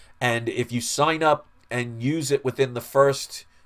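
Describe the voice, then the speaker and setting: A medium-pitched man with a New York accent and fairly even intonation. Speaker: comic book collector YouTuber. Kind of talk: live stream Q&A. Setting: live stream. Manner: casual, conversational.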